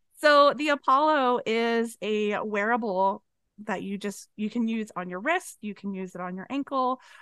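A woman's unremarkable speaking voice at medium pitch, ordinary pitch variation and a moderate pace, over a quiet background. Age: 40s. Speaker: musician and podcast guest. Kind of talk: casual chat.

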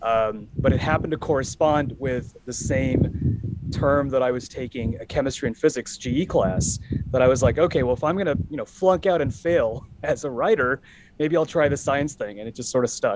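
Against noticeable background noise, a man speaks at a moderate pace in a fairly high pitch with ordinary pitch variation. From Los Angeles, US. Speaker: data analytics executive and entrepreneur. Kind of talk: podcast interview. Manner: halting, many fillers.

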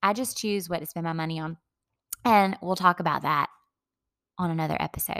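A woman with a Southern US accent speaks at a fairly quick pace, her pitch fairly low with ordinary variation. She leaves long, frequent pauses, and the sound is dry and close with no echo. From US South, Dillon, South Carolina. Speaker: podcast host. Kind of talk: scripted narration; casual chat. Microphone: echo, rough audio, no usual equipment.

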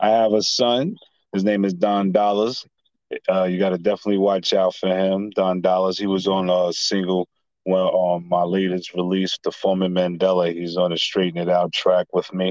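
This man's very deep, low voice stays monotone and flat throughout. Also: moderate pace. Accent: New York. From Staten Island, New York. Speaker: rapper. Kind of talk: casual interview.

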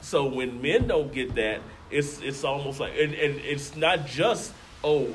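Amid noticeable background noise and audible room echo, a man speaks fairly slowly at a fairly high pitch. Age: 40s. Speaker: guest, snake owner. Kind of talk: casual chat.

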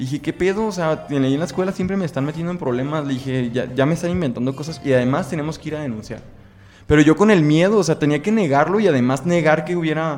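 Talking at a very fast pace with lively intonation, a man's fairly high voice comes through noticeable background noise. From Mexico, Guadalajara (Jalisco). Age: 20s. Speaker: law student. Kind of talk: interview.

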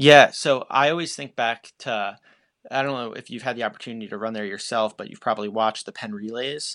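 Against a quiet background, a man speaks at a fairly quick pace and medium pitch, with ordinary pitch variation and big swings in loudness. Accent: American. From Long Island, New York. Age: 20s. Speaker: professional middle-distance runner. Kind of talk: interview.

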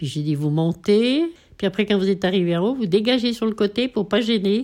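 A woman speaks in a dark, mellow tone. Her pace is moderate. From French Alps, Savoie. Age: 80s+. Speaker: retired ski instructor. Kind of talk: casual interview, life story.

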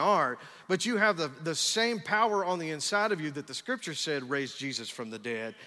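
A man with a West Texas accent, high-pitched with a bright, sharp tone, in a very clean recording with a silent background. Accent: West Texas Southern US. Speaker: pastor. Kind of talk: Pentecostal-style sermon, rising into call-and-response exhortation. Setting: church with live congregation. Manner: rapid run-on delivery with stacked repetitions and "come on somebody" interjections; fervent, revving up the congregation.

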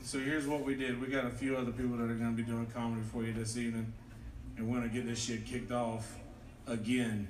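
A man at medium pitch talking very fast, with monotone, flat intonation, very even loudness, audible room echo and noticeable background noise. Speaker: comedian and show emcee. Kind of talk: stand-up. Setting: stage with audience.

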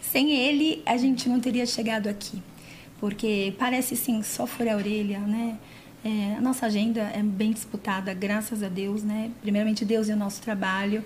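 Against noticeable background noise, a woman with a São Paulo accent talks at a fairly high pitch with fairly even intonation. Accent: paulistano Brazilian Portuguese. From São Paulo city, Brazil. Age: 40s. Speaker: body piercer and physiotherapist. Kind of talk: casual chat. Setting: studio.

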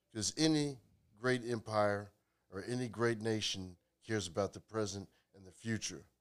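Fairly low pitch and ordinary pitch variation in a man's voice. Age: 40s. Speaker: podcast guest. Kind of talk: casual chat.

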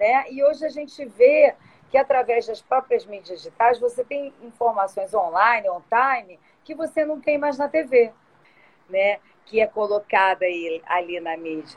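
A woman speaks in an ordinary speaking voice, fairly high in pitch, at a fairly slow pace with lively intonation and big swings in loudness. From Rio de Janeiro, Brazil (born São Paulo, moved at two). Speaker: tourism business owner. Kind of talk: live-stream interview. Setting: online live stream.

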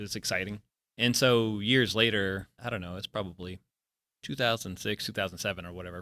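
A man with an American accent and a plain, everyday voice speaks at a fairly low pitch with fairly even intonation, in a dry, close sound with no echo. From US South, New Orleans. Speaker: retired air force veteran. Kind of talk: casual chat.

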